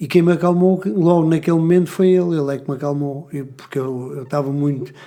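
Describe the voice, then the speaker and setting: A man talks very fast with a fairly high pitch and a dark, mellow tone. His intonation stays fairly even. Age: 60s. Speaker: gymnastics coach. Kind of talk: casual chat. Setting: podcast studio.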